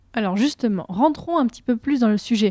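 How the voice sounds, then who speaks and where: In a dry, close recording with no echo, a woman talks at a fairly quick pace with a fairly high pitch, a dark, mellow tone and ordinary pitch variation. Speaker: history podcast host. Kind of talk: interview. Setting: recording room in Bordeaux.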